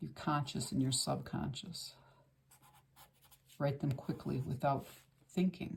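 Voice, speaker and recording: With long, frequent pauses, a woman speaks at a fairly slow pace in a very deep, low pitch marked by vocal fry. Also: ordinary pitch variation. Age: 60s. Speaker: art instructor. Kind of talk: tutorial. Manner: casual, conversational with fillers.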